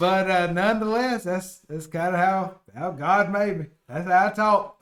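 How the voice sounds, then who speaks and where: A high-pitched man with a strong Southern US accent, ordinary pitch variation and a moderate pace. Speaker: podcast co-host. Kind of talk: casual chat. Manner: words slurred together.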